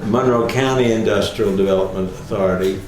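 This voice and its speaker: With noticeable background noise behind him, a man with an American accent speaks at a moderate pace and fairly even intonation. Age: 80s+. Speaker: retired attorney and civic leader. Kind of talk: oral history interview answer. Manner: hesitant, conversational.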